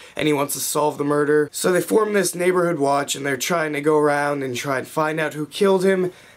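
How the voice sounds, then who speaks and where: A man's fairly high voice at a fairly quick pace, with fairly even intonation and noticeable background noise. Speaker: movie reviewer. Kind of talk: casual movie review to camera.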